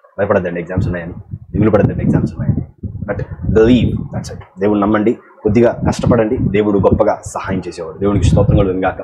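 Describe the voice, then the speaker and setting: Over noticeable background noise, a man with a fairly low pitch speaks with fairly even intonation. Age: 20s. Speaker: preacher. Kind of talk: motivational talk to students. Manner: encouraging.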